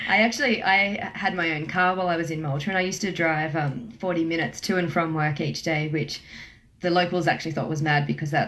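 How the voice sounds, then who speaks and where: This woman talks very fast with an Australian accent. Her voice sits fairly low, with ordinary pitch variation. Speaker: travel agent. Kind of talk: radio interview.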